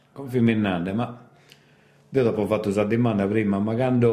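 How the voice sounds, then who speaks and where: Audible room echo surrounds a man whose medium pitch shows ordinary variation. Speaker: radio host. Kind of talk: radio interview.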